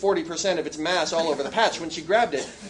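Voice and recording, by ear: A natural voice reads the text aloud.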